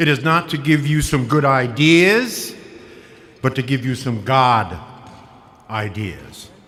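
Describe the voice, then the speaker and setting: A man with an American accent speaks at a medium pitch in a bright, sharp tone with lively intonation. He goes very slowly, with long, frequent pauses and audible room echo. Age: 70s. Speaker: motivational speaker. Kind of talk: keynote speech. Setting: stage with audience. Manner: animated.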